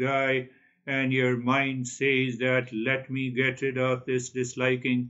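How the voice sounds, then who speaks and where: A quiet background and a man going at a very slow pace. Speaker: spiritual teacher. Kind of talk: spiritual talk. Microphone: webcam.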